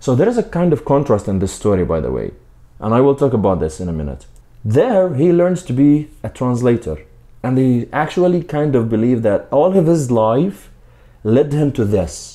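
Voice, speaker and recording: At a moderate pace, a man with a non-native accent speaks at medium pitch in a dark, mellow tone with very wide pitch swings. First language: not English. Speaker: book reviewer. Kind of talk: book review.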